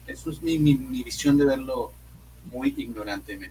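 A man is speaking. His pace is moderate. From Monterrey, northern Mexico. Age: 20s. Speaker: comedian. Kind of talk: casual chat.

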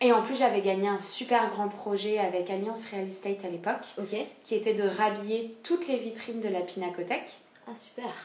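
This woman's voice sits at a medium pitch for a woman, with noticeable background noise behind it. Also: ordinary pitch variation, moderate pace. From southeastern France. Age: 20s. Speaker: business founder. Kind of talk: casual chat. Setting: at home.

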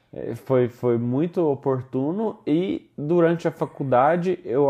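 At a very slow pace, a man speaks in a fairly high pitch with lively intonation. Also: hardly any pauses. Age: 20s. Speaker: solar energy entrepreneur. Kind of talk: interview. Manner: halting.

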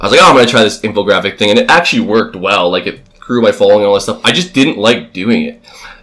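A man at a very fast pace with hardly any pauses, amid noticeable background noise. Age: 20s. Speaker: podcast co-host. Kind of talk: casual chat.

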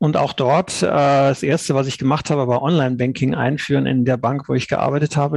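A man's medium-pitched, fairly even delivery, an ordinary speaking voice. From Cologne area, western Germany. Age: 50s. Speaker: blockchain insurance founder. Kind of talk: podcast interview.

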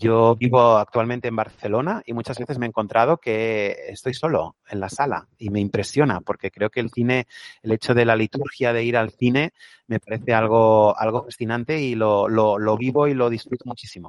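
With fairly even intonation and a medium pitch, a man talks at a moderate pace. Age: 40s. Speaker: psychologist, NGO director. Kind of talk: interview. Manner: hesitant, repeats words.

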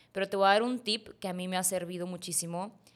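This woman has a plain, everyday voice, fairly low in pitch for a woman, at a moderate pace. The recording is very clean with a silent background. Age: 20s. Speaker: fitness influencer. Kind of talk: testimony.

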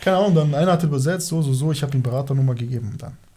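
A man speaks in a dark, mellow tone that is somewhat breathy. His pitch varies in an ordinary way. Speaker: former professional footballer. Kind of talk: casual chat.

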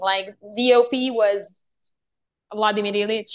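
This woman's voice sits fairly high, and her intonation stays fairly even. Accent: Serbian. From Serbia. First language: Serbian. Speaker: actress. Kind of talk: interview.

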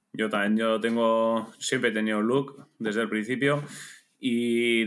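A man speaks at a medium pitch and a fairly slow pace. The recording is very clean, with a silent background. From Basque Country, Spain (Bergara, Gipuzkoa). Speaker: amateur triathlete. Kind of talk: casual chat.

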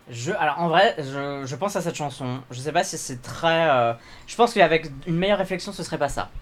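A man with a normal speaking voice, fairly high in pitch with ordinary pitch variation, at a fairly quick pace, with big swings in loudness. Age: young. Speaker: podcast co-host, drag performer. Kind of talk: casual chat.

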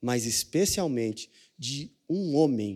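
A man speaks at a medium pitch with lively intonation and a dark, mellow tone, captured in a very clean recording against a silent background. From Brazil, Franca (São Paulo state). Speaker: pastor. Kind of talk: sermon.

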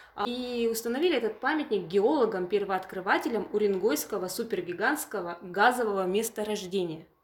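Amid noticeable background noise, a woman talks at a fairly quick pace with hardly any pauses and ordinary pitch variation. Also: medium pitch for a woman. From Yamal, Russian Far North (Purovsky district). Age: 30s. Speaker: museum curator. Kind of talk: interview.

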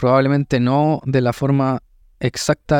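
A man's medium-pitched voice with a Chilean accent, flat and monotone, dry and close with no echo, over a quiet background. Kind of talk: faith reflection; casual interview. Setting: café.

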